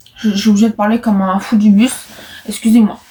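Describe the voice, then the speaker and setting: Very fast and fairly high in pitch, a woman's voice comes through. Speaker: vlogger. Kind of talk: vlog. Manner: halting.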